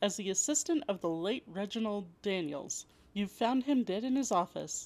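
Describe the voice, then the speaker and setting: Here is a woman with a plain, everyday voice at medium pitch and lively intonation. The recording is very clean, with a silent background. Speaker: podcast host. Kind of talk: cozy mystery narration, read as a second-person story. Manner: hushed, suspenseful storyteller.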